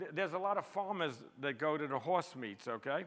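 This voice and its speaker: Spoken at a fairly quick pace with ordinary pitch variation, the voice comes with a New York accent. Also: man. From US, New York City. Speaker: street photographer. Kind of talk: public talk presenting photographs. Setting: stage with audience. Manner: fast; animated.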